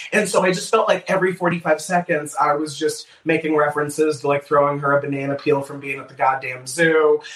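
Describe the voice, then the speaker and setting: Noticeable background noise sits behind a man whose voice is fairly high in pitch and fairly even in intonation. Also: fairly quick pace, hardly any pauses. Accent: American. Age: 20s. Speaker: stand-up comedian. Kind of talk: casual chat.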